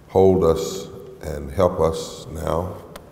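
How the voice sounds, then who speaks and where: A man's voice with audible room echo. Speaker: preacher. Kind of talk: sermon. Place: church. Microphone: headset.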